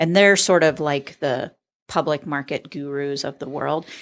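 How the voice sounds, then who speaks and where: A moderate pace with ordinary pitch variation over a quiet background. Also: woman. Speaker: public market manager. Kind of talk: podcast interview. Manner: loud.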